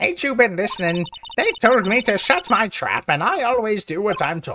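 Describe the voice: A put-on character voice from a man, high in pitch and at a moderate pace.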